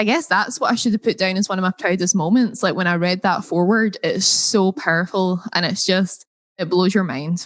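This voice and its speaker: In a Scottish accent, a woman speaks with ordinary pitch variation. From Scotland. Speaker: entrepreneur. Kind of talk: interview.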